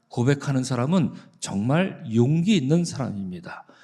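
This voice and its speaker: The man's dark, mellow voice swings very widely in pitch. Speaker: pastor. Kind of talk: sermon. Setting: church.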